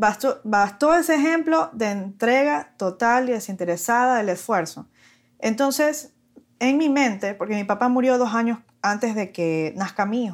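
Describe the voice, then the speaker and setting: A woman uses a normal speaking voice at a fairly slow pace, with lively intonation. The recording is very clean, with a silent background. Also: fairly high pitch for a woman. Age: 30s. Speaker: lawyer and young mother. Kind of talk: casual interview chat.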